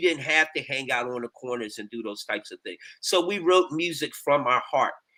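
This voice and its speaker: A man's bright, sharp tone at a fairly quick pace. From US, Philadelphia. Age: 60s. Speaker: gospel musician, keyboardist. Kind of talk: casual interview.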